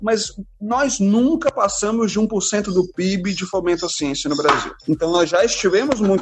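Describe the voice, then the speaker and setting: Lively intonation carries this moderately paced speech through noticeable background noise. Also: man. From Brazil, Belo Horizonte then Fortaleza from early teens. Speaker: biology professor and science communicator. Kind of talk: casual interview.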